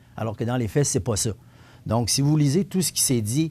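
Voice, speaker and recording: Heard in a very clean recording with a silent background, a man with a medium pitch and a dark, mellow tone speaks with lively intonation. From Quebec, Montmagny. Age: 60s. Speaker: municipal councillor. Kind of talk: radio/TV interview. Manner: halting, frequent repetitions.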